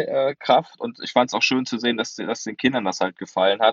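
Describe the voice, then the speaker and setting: This man talks rather briskly, his mid-range pitch holding a mostly level melody. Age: 20s. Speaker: sports reporter and author. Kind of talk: podcast discussion. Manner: halting, many fillers.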